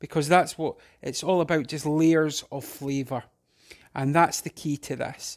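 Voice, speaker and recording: Speaking at a fairly slow pace, a man with a Scottish accent keeps a fairly even intonation at a fairly high pitch. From Scotland. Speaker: home cook. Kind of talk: casual cooking tutorial to camera. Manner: relaxed, hesitant.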